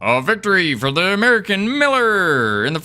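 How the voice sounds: This put-on character voice sits at a middle pitch and moves at a fairly quick pace. Its pitch swings very widely.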